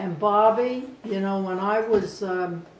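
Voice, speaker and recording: A woman speaks at a very slow pace with a medium pitch. Noticeable background noise and audible room echo surround her voice. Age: 80s+. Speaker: grandmother interviewed for a TV show. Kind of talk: interview. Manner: halting.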